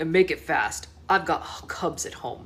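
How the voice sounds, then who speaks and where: A woman puts on a booming, growling character voice. She speaks at a fairly slow pace. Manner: gruff, impatient.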